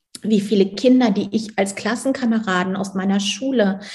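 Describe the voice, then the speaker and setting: Somewhat breathy and dark, mellow in tone, a woman speaks at a fairly slow pace and medium pitch with fairly even intonation. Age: 40s. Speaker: human design coach for parents. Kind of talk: interview.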